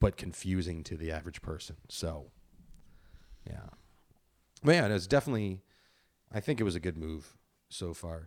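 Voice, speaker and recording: A man with a very deep, low voice talks at a moderate pace with ordinary pitch variation and long, frequent pauses. The recording is very clean, with a silent background. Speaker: stand-up comic. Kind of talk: casual chat.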